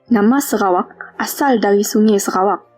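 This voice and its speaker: With music in the background, a woman talks at a fairly slow pace. Her pitch is fairly high, with ordinary variation. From Sarawak, Malaysia. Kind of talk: language sample reading.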